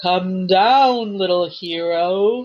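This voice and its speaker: A female-sounding, put-on character voice at a medium pitch for a woman. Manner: evil, crooning.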